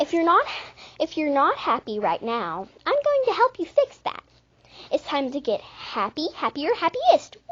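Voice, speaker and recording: A put-on character voice at a moderate pace. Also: woman, extremely high pitch for a woman. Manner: bubbly, upbeat.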